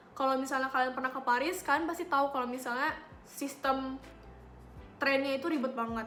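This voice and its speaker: A woman with a high pitch speaks at a very fast pace. Her intonation is fairly even, with music in the background. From Papua, Indonesia. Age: young. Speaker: student and lifestyle vlogger. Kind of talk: casual talk to camera. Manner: chatty, informal slang.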